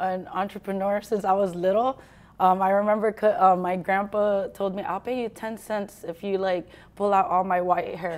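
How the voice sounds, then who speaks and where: Her intonation monotone and flat, a woman speaks at a moderate pace. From Philippines. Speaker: fitness studio owner. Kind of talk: casual interview chat. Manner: casual, filler-heavy. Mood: relaxed, candid storytelling. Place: gym.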